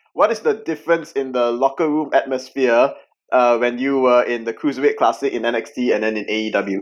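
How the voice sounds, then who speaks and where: In a quiet background, a man talks at a moderate pace in a normal speaking voice. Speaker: podcast host. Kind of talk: casual chat.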